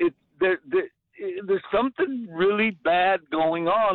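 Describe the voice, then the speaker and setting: The intonation is lively. The pace is fairly slow. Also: man. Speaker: radio caller. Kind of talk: call-in conversation. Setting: phone call. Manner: animated, speechifying.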